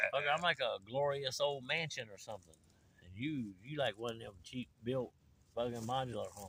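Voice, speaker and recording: A man speaks at a moderate pace in an ordinary speaking voice, with medium pitch, ordinary pitch variation and big swings in loudness. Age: 50s. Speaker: outdoor adventure vlogger. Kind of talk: casual chat. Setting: outdoors.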